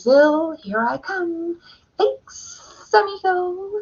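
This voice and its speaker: Putting on a character voice, a woman pitches it extremely high. Her delivery is very slow. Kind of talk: casual, chatty.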